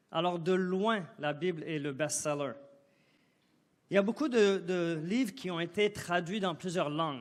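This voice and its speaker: With audible room echo, the speaker goes at a fairly slow pace with long, frequent pauses and ordinary pitch variation. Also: man, high pitch for a man. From Côte d'Ivoire. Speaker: guest preacher. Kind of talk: sermon. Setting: church. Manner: halting.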